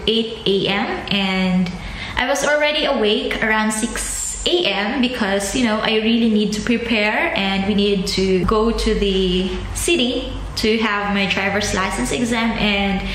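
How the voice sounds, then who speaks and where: A woman speaks at a fairly slow pace amid audible room echo and light background noise. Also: ordinary pitch variation. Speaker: vlogger. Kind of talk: casual vlog chat. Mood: disappointed but upbeat. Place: home room. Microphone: phone near.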